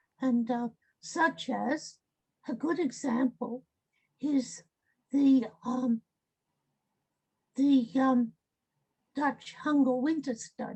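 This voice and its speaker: A woman speaks at a very slow pace with long, frequent pauses. Her high voice has a dark, mellow tone. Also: ordinary pitch variation. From Australia, rural. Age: 80s+. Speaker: medical ethnographer. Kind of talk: interview. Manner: halting, many fillers.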